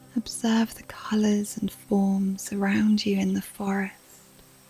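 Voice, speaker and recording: Music plays in the background. A woman speaks very slowly in a monotone, flat voice. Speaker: meditation guide. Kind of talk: guided meditation. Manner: slow, soft-spoken.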